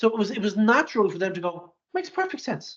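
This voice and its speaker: A man with an Irish accent, high in pitch, at a very fast pace. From Ireland, near Dublin. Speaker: sales executive. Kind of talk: interview.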